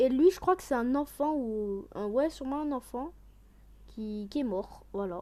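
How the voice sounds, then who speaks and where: A woman's high-pitched voice, dark and mellow in tone, with lively intonation at a fairly slow pace. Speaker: youtuber reacting to trailers. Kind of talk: casual reaction commentary.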